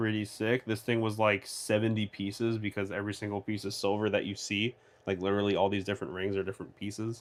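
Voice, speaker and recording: A man speaks very fast at a fairly low pitch. His intonation is monotone and flat. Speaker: 3D printing YouTuber, livestreamer. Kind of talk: casual livestream chat answering viewer questions. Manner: casual, filler-heavy.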